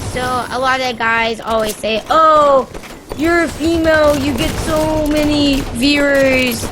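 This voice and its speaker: Amid noticeable background noise and audible room echo, a woman speaks at a very slow pace. Her pitch is high and her intonation fairly even. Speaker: variety game streamer. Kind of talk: casual chat while gaming.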